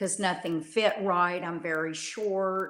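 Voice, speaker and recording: Very slow speech in a Texan accent with fairly even intonation. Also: woman. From Texas. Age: 60s. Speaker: coaching client. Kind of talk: interview. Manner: halting.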